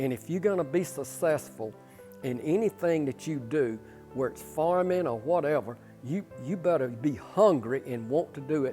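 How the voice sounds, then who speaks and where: With music in the background, a man with a Southern US accent speaks at a fairly high pitch and a fairly slow pace, his intonation lively. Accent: Southern US (Georgia). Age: 70s. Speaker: pole vaulter and retired coach. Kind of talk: interview.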